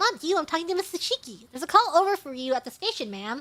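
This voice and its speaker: This squeaky, put-on character voice races along at a very fast pace, with very wide pitch swings and big swings in loudness. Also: woman, extremely high pitch for a woman. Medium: virtual streamer. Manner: curt, dismissive.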